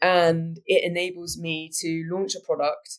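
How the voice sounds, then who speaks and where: This woman talks with a British accent. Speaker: business executive. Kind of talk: interview.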